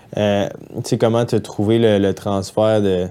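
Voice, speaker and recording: In a Quebec accent, a man talks with a dark, mellow tone. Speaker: podcast host. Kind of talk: casual interview. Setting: studio.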